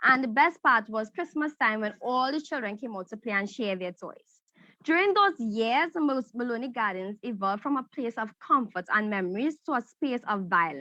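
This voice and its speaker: A woman with a fairly high, bright, sharp voice speaks at a moderate pace with lively intonation and hardly any pauses, the sound dry and close with no echo. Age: 18. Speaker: young entrepreneur pitching. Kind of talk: pitch competition presentation. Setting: virtual event.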